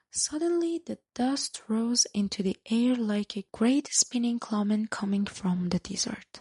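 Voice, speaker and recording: Soft-spoken and with a non-native accent, the speaker talks at a fairly slow pace. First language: not English. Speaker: storyteller. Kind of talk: reading aloud. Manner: halting.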